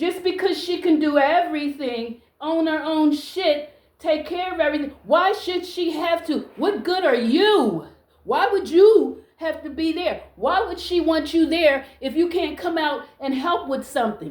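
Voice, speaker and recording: Extremely high-pitched and loud, a woman speaks at a fairly slow pace with ordinary pitch variation and hardly any pauses. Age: 60s. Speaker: social media vlogger. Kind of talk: casual monologue to camera. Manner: animated.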